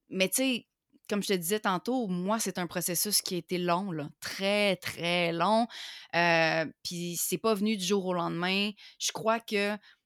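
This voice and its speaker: With a Quebec accent, a woman speaks very slowly at a medium pitch with fairly even intonation. The recording is very clean, dry and close, with a silent background and no echo. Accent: Québécois French. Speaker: online entrepreneur. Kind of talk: interview.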